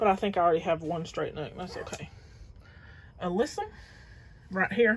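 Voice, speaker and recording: A woman mumbling at a moderate pace in a Southern US accent, somewhat breathy, with ordinary pitch variation. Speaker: gardening vlogger. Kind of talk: casual vlog tour.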